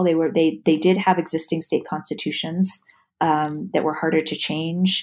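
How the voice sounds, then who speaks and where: With an American accent, a woman talks at a moderate pace and a fairly low pitch in a plain, everyday voice against a quiet background. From New York City (Manhattan). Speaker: historian and author. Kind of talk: interview.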